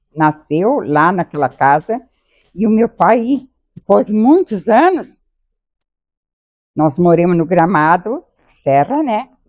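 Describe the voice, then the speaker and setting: A woman speaks at a very slow pace and a medium pitch, with very wide pitch swings. Her pauses are long and frequent. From southern Brazil, Santa Catarina. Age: 80s. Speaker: interviewee, wife. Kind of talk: interview, life story.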